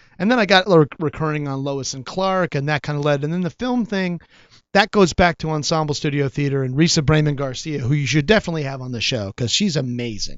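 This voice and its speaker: In a plain, everyday voice, the speaker moves at a fairly quick pace with lively intonation. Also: man. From Chicago. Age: 50s. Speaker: actor. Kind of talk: casual chat.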